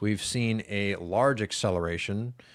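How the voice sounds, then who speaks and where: A man speaks at a fairly slow pace with a plain, everyday voice. The recording is very clean, with a silent background. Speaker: macro market commentator. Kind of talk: market analysis video. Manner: casual with many fillers.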